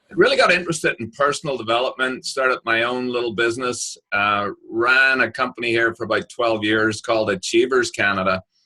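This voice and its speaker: Bright, sharp in tone, a man talks at a fairly quick pace with hardly any pauses and ordinary pitch variation. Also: medium pitch for a man. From Northern Ireland, Belfast. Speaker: author and business coach. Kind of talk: interview. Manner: hesitant, many fillers.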